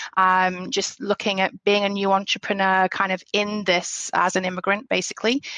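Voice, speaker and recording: A woman with a British accent talks at medium pitch. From England. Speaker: business owner. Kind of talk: podcast interview. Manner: hesitant, many fillers.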